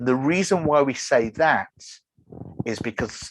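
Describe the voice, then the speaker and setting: Against a quiet background with dry sound and no echo, a man speaks at a moderate pace with lively intonation. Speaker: web developer giving a conference talk; presenter. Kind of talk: online conference presentation. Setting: video call. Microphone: video call.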